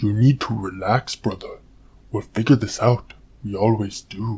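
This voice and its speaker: Using a put-on character voice, a man speaks at a medium pitch with fairly even intonation. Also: moderate pace. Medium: machinima. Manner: relaxed, warm.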